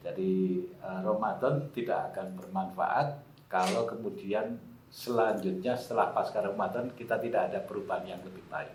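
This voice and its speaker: Through audible room echo and noticeable background noise, a man talks at a moderate pace and medium pitch with ordinary pitch variation. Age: 60s. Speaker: election oversight official. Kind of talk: podcast conversation. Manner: hesitant, many fillers.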